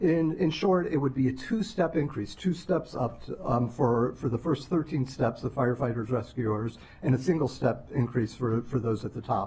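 The speech moves at a moderate pace with hardly any pauses and ordinary pitch variation. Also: man. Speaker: legislative staff analyst. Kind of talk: budget briefing to council. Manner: formal. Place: hall. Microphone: podium.

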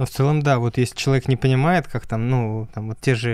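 A man speaks at a moderate pace, the sound dry with no echo against a quiet background. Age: 20s. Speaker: podcast host and music student; podcast guest. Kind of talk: interview; interview answer. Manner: halting, many filler sounds. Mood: calm, friendly. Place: studio. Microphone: studio mic.

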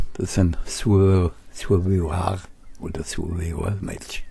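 Against noticeable background noise, the speech goes at a very slow pace with ordinary pitch variation. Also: man. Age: 70s. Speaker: gamer. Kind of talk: gameplay commentary.

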